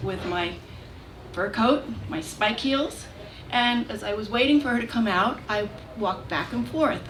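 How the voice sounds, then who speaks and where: At a moderate pace, a woman speaks in a fairly high pitch with lively intonation over noticeable background noise. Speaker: storyteller. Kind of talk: live storytelling performance.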